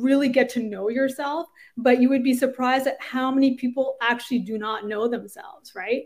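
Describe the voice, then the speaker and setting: A woman's high voice at a fairly quick pace, with a Canadian accent. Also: fairly even intonation, very clean recording, silent background. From Canada. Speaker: orthopedic surgeon and startup founder. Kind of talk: interview conversation. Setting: podcast recording.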